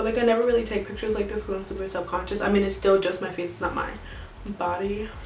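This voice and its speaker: Talking very fast in a monotone, flat way, a woman with a medium-pitched voice is heard through audible room echo and noticeable background noise. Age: 20s. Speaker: beauty vlogger. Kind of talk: casual vlog talk to camera. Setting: at home.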